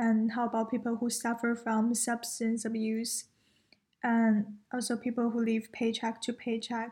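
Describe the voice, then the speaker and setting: A woman with a Chinese accent speaks at a fairly slow pace, her fairly high voice dark and mellow in tone. Her intonation is monotone and flat, her loudness very even, and the recording very clean with a silent background. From China. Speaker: university student. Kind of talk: casual chat.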